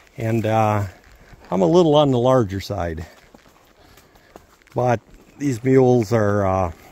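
A man speaks with a fairly low pitch and ordinary pitch variation. The sound is dry with no echo. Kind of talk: casual vlog chat. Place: forest. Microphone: phone near.

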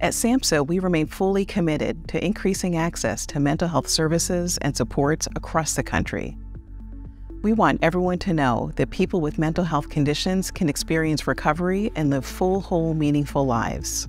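A woman speaks at a very even loudness. Faint music plays in the background. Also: moderate pace, dry sound with no echo. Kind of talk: public service message. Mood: warm, calm, earnest. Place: studio. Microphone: lapel.

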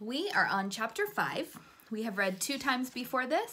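Lively intonation in an unforced reading voice

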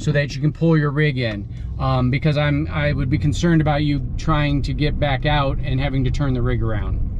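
At a moderate pace and with fairly even intonation, a man speaks in a dry sound with no echo over light background noise. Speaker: campsite reviewer driving. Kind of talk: tour narration. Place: car. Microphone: phone near.

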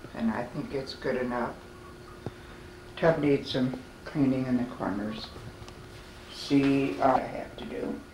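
Noticeable background noise runs under the voice. The pace is fairly slow. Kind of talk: casual walk-through narration. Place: home room. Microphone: old recording.

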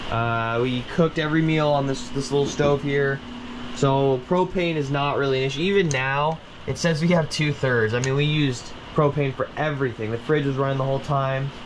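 A man talks at a fairly quick pace. His intonation is fairly even, with light background noise. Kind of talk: casual review walk-through. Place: home room. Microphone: phone near.

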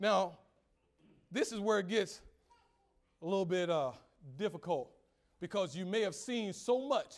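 A man with a high pitch sounds animated and energetic. His intonation is lively. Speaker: preacher. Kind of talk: sermon. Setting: church. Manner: animated, call-and-response preaching with rhetorical questions and exclamations; conversational, humorous, and energetic. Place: church.

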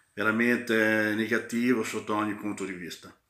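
A man's bright, sharp voice at a moderate pace, with audible room echo. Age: 40s. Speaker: football fan vlogger. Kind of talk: casual match commentary vlog. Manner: hesitant, many fillers. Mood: pleased, festive. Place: home room. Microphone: phone near.

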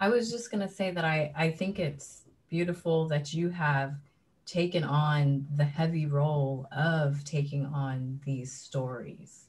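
A woman with a very deep, low, somewhat breathy voice speaks at a fairly slow pace. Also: ordinary pitch variation. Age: 30s. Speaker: artist, mother; panelist. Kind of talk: panel discussion. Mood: warm, reflective. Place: home room. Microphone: video call.

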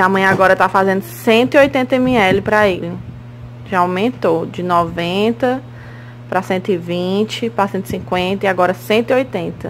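A woman's voice swings very widely in pitch over light background noise. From Ceará, Brazil. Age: 20s. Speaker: mother vlogger. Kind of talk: casual vlog talk to camera. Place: home room. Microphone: phone near.

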